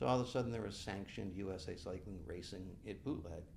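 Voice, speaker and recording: A man with an American accent talks at a very fast pace, his very deep, low voice showing ordinary pitch variation amid audible room echo. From western New York (Buffalo). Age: 60s. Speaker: bike race director and event coordinator. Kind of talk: podcast interview.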